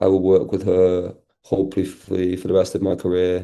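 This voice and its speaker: Against a quiet background, a man with a strong Manchester accent speaks at a very deep, low pitch in a dark, mellow tone and a monotone, flat intonation. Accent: thick Manchester. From Manchester, northern England. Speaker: actor. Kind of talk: interview. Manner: fast, filler-heavy casual speech.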